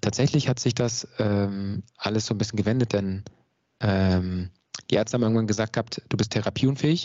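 Fairly low in pitch, a man with a plain, everyday voice talks at a moderate pace with fairly even intonation. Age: 30s. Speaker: mental coach. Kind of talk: interview.

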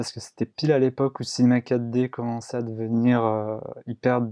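A man's dark, mellow tone at medium pitch, fairly even in intonation, dry and close with no echo against a quiet background. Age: 20s. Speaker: 3D artist. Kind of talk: casual chat.

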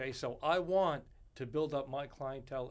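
The speaker has a New York accent and ordinary pitch variation. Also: man. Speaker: bartender. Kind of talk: casual interview chat.

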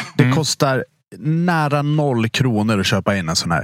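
A man with an ordinary speaking voice talks at a moderate pace with ordinary pitch variation, recorded with a dry, close sound and no echo. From Dalarna, Sweden. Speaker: podcast host, restaurant industry. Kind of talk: casual chat.

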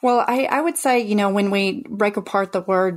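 The recording is very clean, its background silent. An ordinary speaking voice is heard at a moderate pace, its pitch varying in an ordinary way. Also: woman. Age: 40s. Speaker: FIRE retreat founder, former teacher. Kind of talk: interview.

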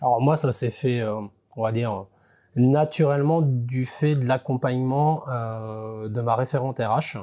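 A man's dark, mellow, medium-pitched voice at a very slow pace with fairly even intonation. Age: 40s. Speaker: agricultural insurance inspector. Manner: halting, with repeated words and fillers.

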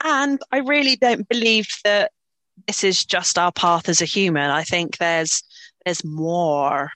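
A woman with an Irish accent, fairly low in pitch, speaking at a fairly slow pace with very wide pitch swings. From Ireland. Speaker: crystal healer and reflexologist. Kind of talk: casual chat.

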